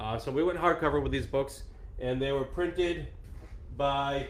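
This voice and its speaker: A man talks at a moderate pace. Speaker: tabletop game designer. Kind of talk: casual live stream talk to camera. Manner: casual, hesitant, chatty.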